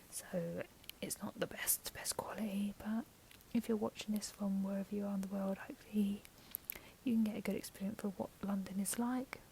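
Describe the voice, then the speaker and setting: A soft-spoken woman at medium pitch, fairly quick and monotone, with flat intonation and noticeable background noise. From London, England. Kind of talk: casual talk to camera.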